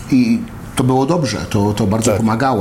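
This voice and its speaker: A man speaking at a fairly quick pace, with audible room echo and noticeable background noise. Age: 40s. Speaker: MMA fighter. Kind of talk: casual chat. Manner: halting.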